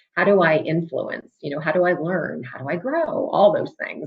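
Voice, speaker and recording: This fairly quick delivery carries a somewhat breathy quality. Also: woman. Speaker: business executive speaker. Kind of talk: career talk to students. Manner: fast.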